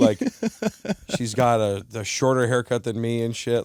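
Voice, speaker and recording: A man talks at a fairly slow pace in a medium pitch. It is a plain, everyday voice with fairly even intonation. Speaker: stand-up comedian. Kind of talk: podcast interview answer. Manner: casual, profane, joking.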